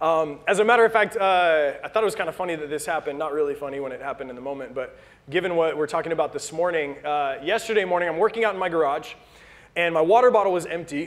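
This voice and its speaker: At a very fast pace, a man with a high pitch speaks with ordinary pitch variation. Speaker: pastor. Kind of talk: sermon. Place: church.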